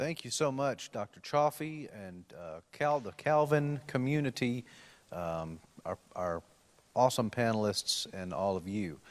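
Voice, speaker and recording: In a Tennessee accent, a man at medium pitch speaks at a fairly slow pace with very wide pitch swings. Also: big swings in loudness. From Tennessee, Nashville. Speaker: panel moderator, policy lawyer. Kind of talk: panel discussion introduction. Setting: university event, live streamed.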